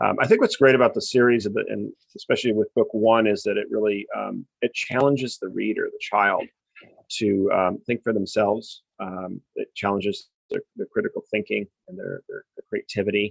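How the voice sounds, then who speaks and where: With an American accent, a man speaks at a moderate pace with big swings in loudness in a dry, close sound with no echo. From US West Coast, Newport Beach, California. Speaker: novelist. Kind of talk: podcast interview.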